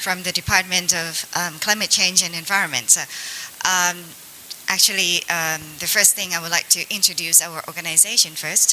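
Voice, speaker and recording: Noticeable background noise sits behind a woman with a fairly low pitch. She talks at a fairly quick pace in a monotone, flat intonation. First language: Thai. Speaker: government agency representative. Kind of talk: panel discussion. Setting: seminar panel in hotel.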